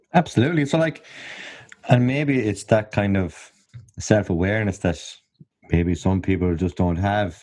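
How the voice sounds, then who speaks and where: In an Irish accent, a man talks at a moderate pace with long, frequent pauses. His pitch is fairly low, and his intonation is lively. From Ireland. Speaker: podcast host. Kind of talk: casual interview chat. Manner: jokey, chatty.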